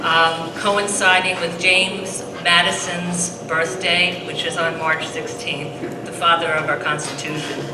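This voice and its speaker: Hardly pausing, a woman speaks at a fairly slow pace in a monotone, flat intonation, with audible room echo and noticeable background noise. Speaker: seminar moderator, board member of advocacy group. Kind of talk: public seminar introduction. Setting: high school auditorium, live audience. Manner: halting, many fillers. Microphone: too quiet, handheld mic not close enough.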